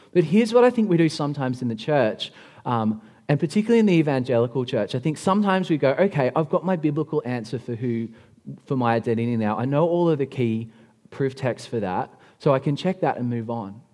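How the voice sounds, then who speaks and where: Speaking very fast with an Australian accent, a man has a fairly high pitch, lively intonation and a dark, mellow tone. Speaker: pastor. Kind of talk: sermon. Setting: church.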